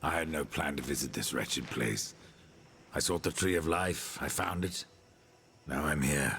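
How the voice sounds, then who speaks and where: In a put-on character voice, a man speaks very deep and low with a stern tone at a moderate pace, leaving long, frequent pauses. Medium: video game. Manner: terse, stern.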